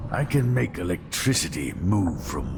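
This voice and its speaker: Over loud background noise, a man uses a put-on character voice with a very deep, low pitch at a fairly slow pace. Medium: machinima. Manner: measured, reflective.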